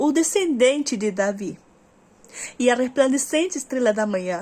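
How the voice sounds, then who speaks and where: This woman's high-pitched voice moves with lively intonation. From Uruguay. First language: Spanish (speaking Portuguese). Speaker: Bible reader. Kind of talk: reading aloud; casual chat. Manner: halting.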